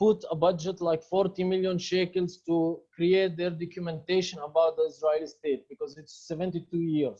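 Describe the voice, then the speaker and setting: In an Arabic accent, a man speaks with a high pitch and a dark, mellow tone. His intonation is monotone and flat, with hardly any pauses. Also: moderate pace. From Palestine. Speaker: filmmaker and activist. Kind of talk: Q&A interview answers. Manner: halting.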